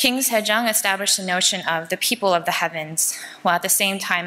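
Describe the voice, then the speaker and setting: At a very fast pace, a woman is talking. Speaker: conference presenter. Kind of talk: lecture. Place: hall. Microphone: podium.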